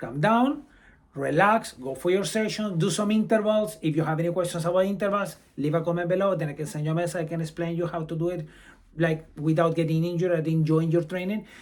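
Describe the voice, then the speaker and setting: The speech moves at a very fast pace. Pitch variation is ordinary. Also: man, high pitch for a man. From Brazil. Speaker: amateur runner and running vlogger. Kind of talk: advice vlog.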